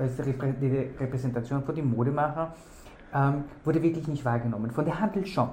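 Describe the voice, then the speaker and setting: Audible room echo surrounds a man with a non-native accent whose fairly high voice keeps a fairly even intonation. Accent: foreign accent in German. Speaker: fashion designer and podcast host. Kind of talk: interview. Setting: office. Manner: halting, many fillers.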